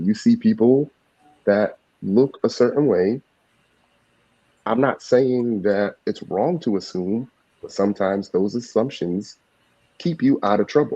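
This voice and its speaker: Pausing long and often, a man with an American accent talks at a medium pitch with ordinary pitch variation and a dark, mellow tone. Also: fairly slow pace. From Florida, then Massachusetts. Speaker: panelist on a reality TV review show. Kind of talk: panel discussion.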